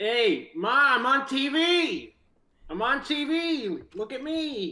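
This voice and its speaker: Putting on a character voice, a man talks very slowly at an extremely high pitch. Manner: goofy, excited.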